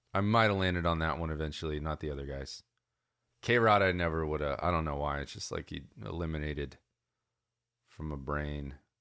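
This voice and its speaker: The speech moves at a fairly quick pace with long, frequent pauses in a very clean recording with a silent background. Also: man, very deep, low pitch for a man, ordinary pitch variation. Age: 30s. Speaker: baseball podcast co-host. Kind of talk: casual chat.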